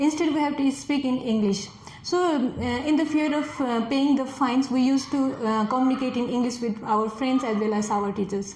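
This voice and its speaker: With a Nepali accent, a woman talks at a moderate pace and high pitch, with hardly any pauses and very even loudness, amid noticeable background noise and audible room echo. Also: ordinary pitch variation. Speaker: test candidate. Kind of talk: speaking exam interview. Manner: halting, many fillers.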